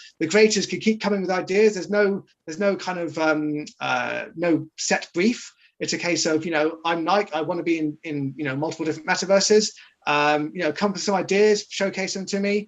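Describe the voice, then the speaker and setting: A man's high-pitched voice with a British accent, at a fairly quick pace. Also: ordinary pitch variation. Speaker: marketing executive of a crypto project. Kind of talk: interview in a livestreamed Q&A. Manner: hesitant, many fillers.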